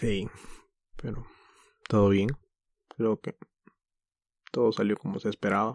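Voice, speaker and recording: A man's fairly low voice, fairly even in intonation and fairly slow, with long, frequent pauses, a quiet background, and a dry, close sound with no echo. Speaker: podcast host. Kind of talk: casual chat.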